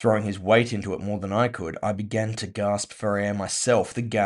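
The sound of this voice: The voice reads aloud. It sounds unforced.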